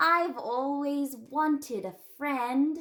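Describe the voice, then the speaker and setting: A woman puts on a character voice. It sits at a high pitch. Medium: read story. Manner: innocent, wondering.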